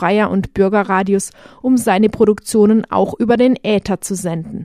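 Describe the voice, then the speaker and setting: At a moderate pace, a woman with a fairly high pitch speaks in a dark, mellow tone with fairly even intonation, the sound dry and close with no echo. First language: German. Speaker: radio journalist narrator. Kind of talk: scripted narration.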